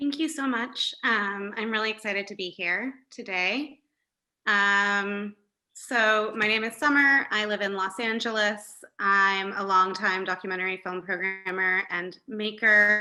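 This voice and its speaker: A woman with an American accent speaks at a fairly slow pace, her medium pitch showing ordinary pitch variation and a bright, sharp tone. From California. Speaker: documentary filmmaker and festival programmer, moderator. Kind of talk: panel moderation. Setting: online discussion.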